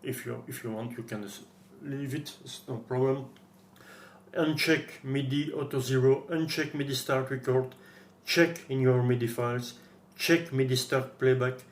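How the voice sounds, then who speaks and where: Audible room echo surrounds a man with a somewhat breathy voice. He keeps a moderate pace and fairly even intonation. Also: medium pitch for a man. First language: French. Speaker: guitar gear tutorial maker. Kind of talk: tutorial. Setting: screen recording at PC. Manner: halting.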